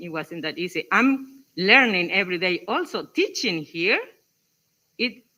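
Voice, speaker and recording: With a strong coastal Mexican accent, this voice talks at a fairly slow pace, its pitch swinging very widely. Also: woman. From Mexico, Acapulco (Guerrero coast). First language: Spanish. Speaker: English teacher in workshop. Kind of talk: workshop discussion.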